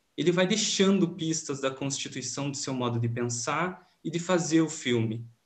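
A man speaks at a moderate pace with hardly any pauses, his voice somewhat breathy and fairly high-pitched. His pitch varies in an ordinary way against a quiet background. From Rio Grande do Sul, Brazil. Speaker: film researcher; presenter. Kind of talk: academic conference presentation. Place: home room. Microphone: webcam.

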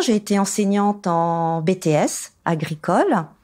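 A woman is speaking. Her tone is dark and mellow. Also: very clean recording, silent background. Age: 60s. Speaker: farmer. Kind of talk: testimony. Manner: some hesitations.

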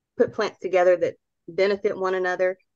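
In a dry, close recording with no echo, a woman delivers her words at a fairly quick clip. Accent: Southern US. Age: 60s. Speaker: gardening speaker. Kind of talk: lecture. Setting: video call.

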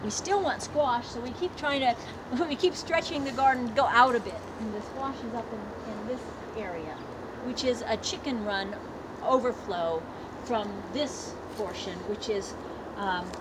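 A woman speaks at a moderate pace, leaving long, frequent pauses. Loud background noise fills the recording. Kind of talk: guided tour explanation. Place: garden.

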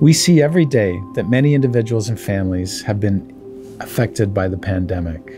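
Clear music plays in the background as a man with a fairly low pitch talks at a fairly quick pace. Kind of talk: scripted address to staff. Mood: warm, earnest. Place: meeting room. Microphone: lapel.

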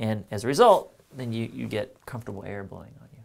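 A man speaks in a normal speaking voice at a fairly quick pace with ordinary pitch variation. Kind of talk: tutorial. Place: workshop. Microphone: lapel.

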